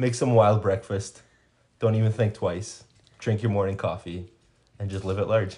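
A somewhat breathy man with a dark, mellow tone, monotone, flat intonation and long, frequent pauses. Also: fairly low pitch for a man, moderate pace. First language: Spanish. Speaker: podcast guest. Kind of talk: casual chat. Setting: home recording. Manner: hesitant, many fillers.

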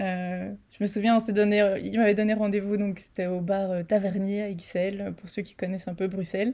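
In a very clean recording with a silent background, a woman of medium pitch speaks at a moderate pace in a dark, mellow tone with monotone, flat intonation. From Belgium. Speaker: global mobility specialist. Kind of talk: interview.

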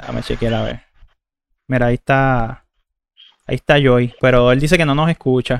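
With a Puerto Rican accent, a man of medium pitch talks at a moderate pace with fairly even intonation and long, frequent pauses, in a dry, close sound with no echo. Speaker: podcast host and streamer. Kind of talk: casual chat. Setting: live stream.

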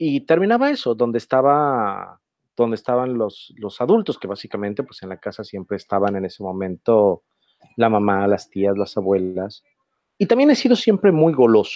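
Speaking at a moderate pace, a man has an ordinary speaking voice at medium pitch with lively intonation. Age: 40s. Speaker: journalist and food writer. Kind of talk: casual chat.

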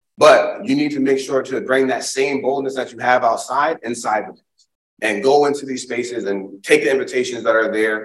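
In an American accent, a man with a normal speaking voice talks at a moderate pace and medium pitch with ordinary pitch variation. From Springfield, Massachusetts. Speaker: diversity and inclusion speaker. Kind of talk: keynote talk and Q&A.

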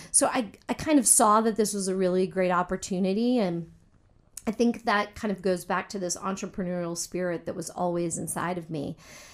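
An ordinary speaking voice with an American accent moves at a fairly quick pace with ordinary pitch variation. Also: woman, medium pitch for a woman. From US South, military family. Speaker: cheesemaker and business owner. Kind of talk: interview.

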